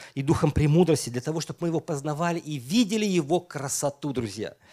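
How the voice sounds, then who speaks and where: A dark, mellow tone at a fairly quick pace, ordinary pitch variation, on a very clean recording with a silent background. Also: man. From Estonia. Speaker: pastor. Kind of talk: sermon.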